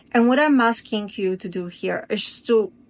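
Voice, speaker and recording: A woman with a non-native accent at a fairly slow pace, lively in intonation, against a quiet background. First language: not English. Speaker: spiritual coach. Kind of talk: casual talk to camera. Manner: halting.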